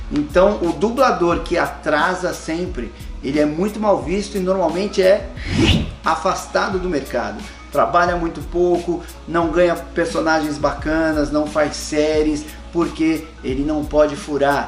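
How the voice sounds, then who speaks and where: A man talking at a fairly slow pace, with music in the background. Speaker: voice actor and dubbing director. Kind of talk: casual talk to camera, advice to aspiring voice actors.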